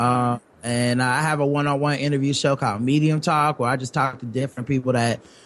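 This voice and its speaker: Speaking very fast with a slight Southern US accent, a man holds a medium pitch, flat monotone intonation and very even loudness. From US South. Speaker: podcaster.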